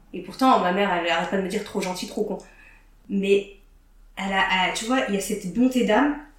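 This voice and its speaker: With audible room echo and noticeable background noise, a woman speaks at a very fast pace with long, frequent pauses, at medium pitch and with ordinary pitch variation. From northern France. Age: 30s. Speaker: learning techniques trainer. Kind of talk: casual chat.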